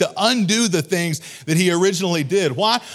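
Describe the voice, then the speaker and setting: A man talks in a high, animated voice with lively intonation while music plays in the background. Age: 40s. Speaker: pastor. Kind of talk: sermon. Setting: church with congregation.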